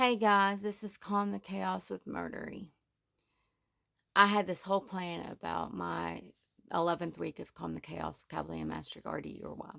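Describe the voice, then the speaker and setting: Her loudness swings widely as she speaks at a moderate pace. The woman's recording is very clean, with a silent background. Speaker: vlogger. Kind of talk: casual monologue vlog. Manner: naturally loud.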